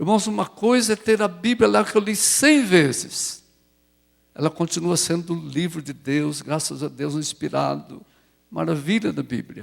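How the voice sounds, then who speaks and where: On a very clean recording with a silent background, a man talks fairly slowly at a high pitch. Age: 70s. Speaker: pastor. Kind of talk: sermon. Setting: church.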